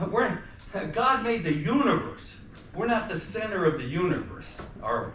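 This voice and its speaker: With an American accent, a man speaks in an animated tone at a moderate pace, his high voice full of lively intonation, with noticeable background noise and audible room echo. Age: 70s. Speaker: activist speaker, former priest. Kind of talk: talk to students. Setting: college lecture audience.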